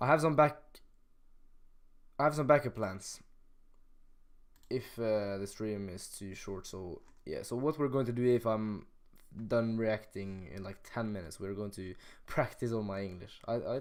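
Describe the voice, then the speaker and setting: A man with a Norwegian accent at a moderate pace, with long, frequent pauses and big swings in loudness. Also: fairly low pitch for a man, ordinary pitch variation. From Norway. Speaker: rapper and streamer. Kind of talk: live stream chat. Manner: halting, many fillers.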